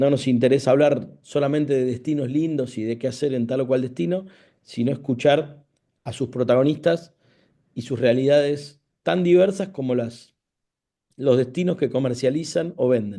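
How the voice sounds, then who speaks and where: At a moderate pace, a man speaks in a dark, mellow tone of medium pitch with ordinary pitch variation. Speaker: radio host. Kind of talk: radio interview.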